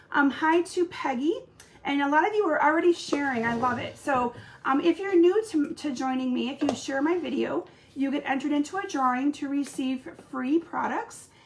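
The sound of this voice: Ordinary pitch variation accompanies a moderate pace throughout. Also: woman, high pitch for a woman.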